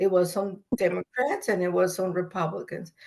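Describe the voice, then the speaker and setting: In a Spanish accent, a woman speaks with a dark, mellow tone. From El Salvador. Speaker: migrant rights activist. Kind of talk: conversational webinar discussion.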